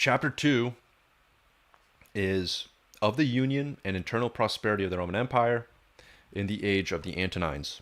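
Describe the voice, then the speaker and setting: A quiet man at a moderate pace, fairly low in pitch with lively intonation and long, frequent pauses, in a very clean recording with a silent background. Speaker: YouTuber reading a history book aloud. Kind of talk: reading aloud.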